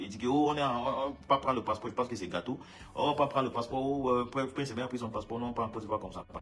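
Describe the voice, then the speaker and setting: The pace is very fast. A man is the one talking. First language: English (speaking French). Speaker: musician. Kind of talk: casual monologue statement. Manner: halting, many repetitions.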